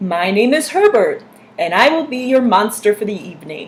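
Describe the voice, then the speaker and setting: A put-on character voice sits at a fairly high pitch. It moves along at a moderate pace. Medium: read story. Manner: polite, meek.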